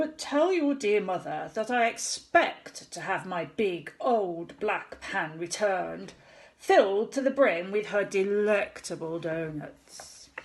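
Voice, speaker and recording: Putting on a character voice, a woman speaks at medium pitch and a fairly slow pace with hardly any pauses. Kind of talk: bedtime story. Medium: read story. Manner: hammy, mock-menacing.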